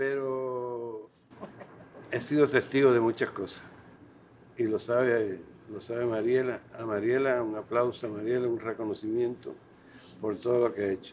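A man with a medium pitch speaks in a monotone, flat way, leaving long, frequent pauses. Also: moderate pace. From Cuba. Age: 80s+. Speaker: poet and intellectual. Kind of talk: meeting speech.

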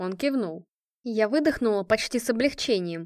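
Lively intonation marks a natural reading voice. The background is quiet.

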